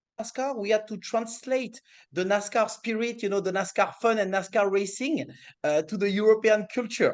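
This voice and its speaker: This voice carries a French accent and shows ordinary pitch variation. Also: man, high pitch for a man, moderate pace. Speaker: motorsport series executive. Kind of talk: interview. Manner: halting.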